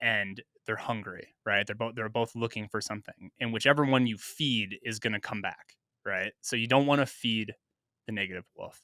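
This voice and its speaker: A man speaks in an American accent with a bright, sharp tone. His intonation is fairly even, and the sound is dry and close with no echo. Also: medium pitch for a man, moderate pace. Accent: slight Minnesota accent on some vowels. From US Midwest, Minnesota. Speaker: podcast co-host. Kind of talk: casual chat.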